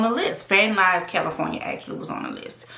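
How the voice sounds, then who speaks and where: Against noticeable background noise, a woman speaks in a fairly high pitch with a New Orleans accent. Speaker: YouTuber and actress. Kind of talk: casual chat.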